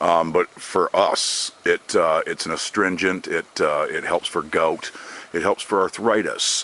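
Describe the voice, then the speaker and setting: A man talks in a relaxed tone at a fairly slow pace. The sound is dry and close with no echo, with noticeable background noise. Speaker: forager. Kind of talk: casual talk to camera. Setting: outdoors. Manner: relaxed, hesitant.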